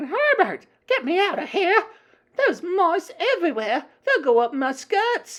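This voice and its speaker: A female-sounding put-on character voice is squeaky and shrill, with an extremely high pitch. It moves at a fairly slow pace with very wide pitch swings. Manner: screaming in panic.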